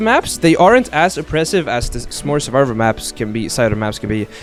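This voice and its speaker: Music plays behind a man who talks at a very fast pace with hardly any pauses. His pitch swings very widely. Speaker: streamer. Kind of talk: casual chat. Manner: stutter.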